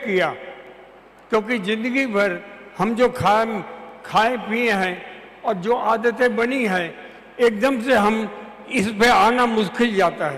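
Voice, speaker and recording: A man with a high pitch and ordinary pitch variation speaks amid noticeable background noise and audible room echo. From Chhattisgarh, India. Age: 80s+. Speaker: retired advocate. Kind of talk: testimony. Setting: auditorium with audience.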